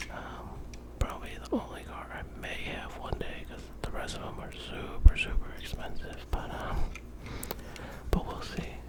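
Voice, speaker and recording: Whispering at a moderate pace, a man speaks with big swings in loudness over noticeable background noise. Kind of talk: ASMR show-and-tell. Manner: whispered; casual, hesitant.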